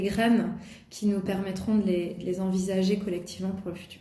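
Her intonation monotone and flat, a woman speaks at a medium pitch with audible room echo. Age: 40s. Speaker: art center director. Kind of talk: interview. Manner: hesitant, many fillers.

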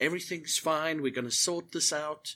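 His tone is bright and sharp, with a fairly high pitch for a man. He talks at a moderate pace. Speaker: podcast host and Twitch streamer. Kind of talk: casual chat. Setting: Discord call.

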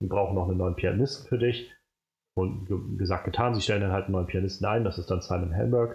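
A man speaks very fast with a fairly low pitch. His voice is somewhat breathy, and his loudness stays very even. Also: ordinary pitch variation. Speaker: film podcast host. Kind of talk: casual chat. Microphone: new microphone, sits further from it.

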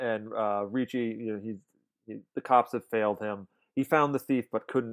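A man's medium-pitched voice at a moderate pace, with fairly even intonation, a dry, close sound with no echo and a quiet background. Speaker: podcast host. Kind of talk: casual chat.

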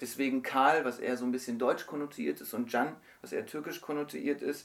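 In a normal speaking voice, a man talks at a moderate pace and a medium pitch. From Germany. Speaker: novelist. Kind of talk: interview. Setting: radio studio.

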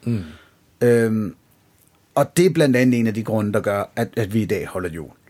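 This man's voice is pitched in the middle range. The recording is very clean, with total silence behind him. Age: 30s. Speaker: podcast host. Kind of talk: casual chat.

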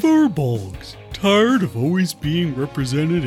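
A put-on character voice at middle pitch speaks at a fairly slow pace. Clear music can be heard in the background.

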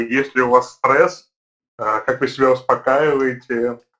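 There is music behind the speaker. He is a man talking at a medium pitch. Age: 30s. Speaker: podcast co-host, event manager. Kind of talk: casual chat.

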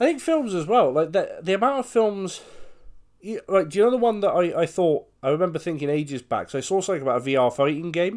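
Talking at a very fast pace, a man with a high pitch sounds animated, his pitch swinging very widely. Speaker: podcast co-host. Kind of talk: casual comedic chat. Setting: remote recording via Skype. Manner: animated, jokey.

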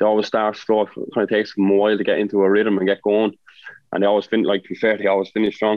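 A man talks at a very fast pace in an Irish accent. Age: 30s. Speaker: footballer. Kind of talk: casual chat.

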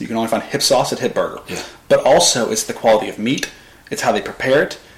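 A man with a Southern US accent talks at a very fast pace. Noticeable background noise is present. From US South, Arkansas (Pine Bluff area). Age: 20s. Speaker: marketing agency founder. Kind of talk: casual interview chat.

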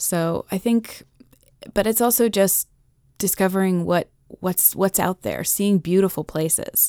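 In an American accent, a woman talks at a fairly slow pace and medium pitch, her intonation fairly even and her tone dark and mellow, in a dry, close sound with no echo. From Massachusetts. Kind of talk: radio interview.

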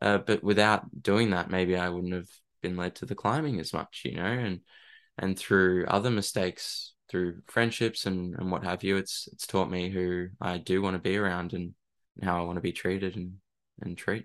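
In an Australian accent, a man with a very deep, low pitch speaks at a moderate pace with fairly even intonation. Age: 20s. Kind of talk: interview. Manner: halting, hesitant.

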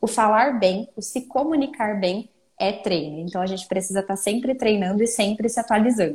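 Somewhat breathy, a woman with a fairly high pitch talks at a moderate pace. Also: ordinary pitch variation. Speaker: speech therapist. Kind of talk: casual interview.

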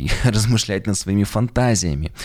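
A man with a fairly low pitch and an unremarkable speaking voice talks at a moderate pace with lively intonation. The recording is very clean, with a silent background. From Yekaterinburg, Urals, Russia. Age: 30s. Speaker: pastor and podcast author. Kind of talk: monologue, video presentation of own podcast.

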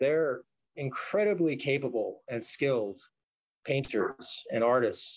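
A man with an American accent, at a fairly slow pace. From US West Coast, Los Angeles area. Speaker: street artist. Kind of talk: casual interview.

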